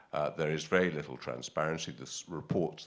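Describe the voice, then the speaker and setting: A man talks with a British accent. His voice is very deep and low, with vocal fry. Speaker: audience member asking a question. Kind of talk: conference Q&A question. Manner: halting, many fillers.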